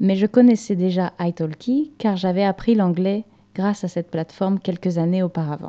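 At a moderate pace, a woman speaks in a dark, mellow tone, the sound dry and close with no echo. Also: medium pitch for a woman, ordinary pitch variation. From France, rural Normandy. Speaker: online French teacher and podcast host. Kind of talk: scripted monologue for language learners. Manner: clear, measured pace for learners.

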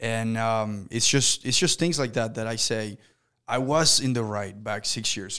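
The man's voice sits at a medium pitch with a bright, sharp tone and ordinary pitch variation. He talks at a moderate pace on a very clean recording with a silent background. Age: 20s. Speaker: podcast host, business owner. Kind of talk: casual interview chat.

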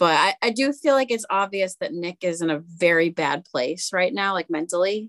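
A normal speaking voice, this woman's is medium-pitched with lively intonation, moving at a moderate pace with hardly any pauses in a dry, close sound with no echo. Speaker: podcast co-host. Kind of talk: casual podcast discussion.

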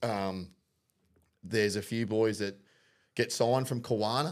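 Recorded very cleanly against a silent background, a man with an Australian accent talks at a fairly low pitch with fairly even intonation. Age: 30s. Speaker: podcast host, amateur rugby league player. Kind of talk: casual chat.

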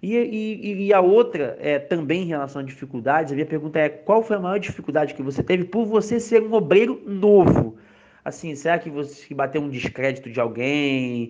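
A man's fairly high voice, moderate in pace and lively in intonation, is heard against noticeable background noise. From Rio de Janeiro, Brazil. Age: 30s. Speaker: podcast host, church youth minister. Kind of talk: casual religious discussion.

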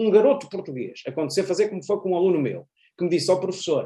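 At a very fast pace, a man talks in a high pitch. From Portugal. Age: 40s. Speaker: university professor and international affairs commentator. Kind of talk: interview conversation.

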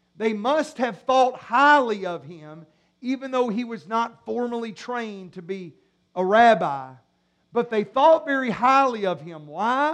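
His tone is animated, with lively intonation and big swings in loudness. The man talks at a fairly slow pace in an extremely high pitch. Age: 40s. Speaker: pastor. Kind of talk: sermon. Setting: church.

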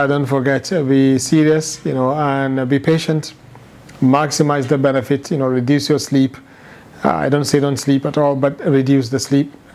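A man talks with a fairly high pitch and fairly even intonation. Noticeable noise fills the background. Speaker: Islamic teacher. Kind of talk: lecture.

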